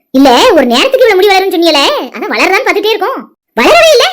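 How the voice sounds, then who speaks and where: A woman's cartoonish character voice, extremely high in pitch and very fast, with very wide pitch swings. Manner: chatty, resigned.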